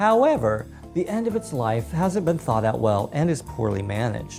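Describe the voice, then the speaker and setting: A woman's warm, upbeat voice at a moderate pace, with music in the background. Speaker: drag queen. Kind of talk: storytelling to camera.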